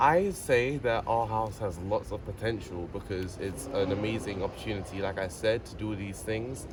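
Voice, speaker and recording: In a British accent, a man talks at a fairly low pitch and moderate pace, with hardly any pauses and ordinary pitch variation. Noticeable background noise can be heard. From England, near London. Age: young. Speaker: tech incubator participant. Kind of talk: interview answer.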